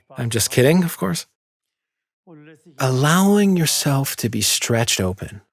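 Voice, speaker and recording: A man speaks slightly breathily at a medium pitch, with very wide pitch swings and a fairly slow pace. He leaves long, frequent pauses in a very clean recording with a silent background. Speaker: pain therapist demonstrating exercises. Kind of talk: exercise tutorial. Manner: calm, instructive.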